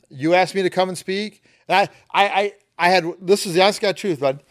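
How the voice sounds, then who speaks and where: A man with an American accent speaks fairly quickly, captured on a very clean recording where the background is silent. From Flint, Michigan. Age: 50s. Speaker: charter captain and fishing educator. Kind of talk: casual interview. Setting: in-person at a conference.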